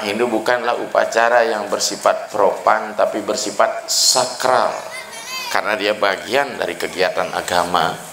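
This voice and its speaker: A man speaks at a medium pitch and a moderate pace. The recording has audible room echo and noticeable background noise. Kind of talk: dharma talk at ceremony. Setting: evening ceremony with audience. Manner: formal.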